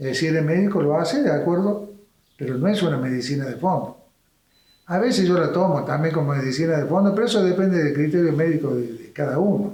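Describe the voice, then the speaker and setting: Amid audible room echo, a man talks at a very fast pace with a high pitch and ordinary pitch variation. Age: 80s+. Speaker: doctor. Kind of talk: interview.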